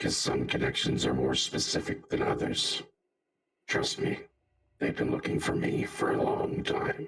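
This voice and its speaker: Putting on a raspy character voice at an extremely high pitch, a man speaks at a moderate pace. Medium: actual play. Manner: measured, solemn, explanatory.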